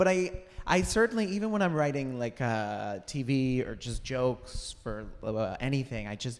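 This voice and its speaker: Using lively intonation, a man with an American accent talks at a moderate pace and a medium pitch. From United States. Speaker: comedian and TV writer. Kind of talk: live podcast interview. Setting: stage with audience.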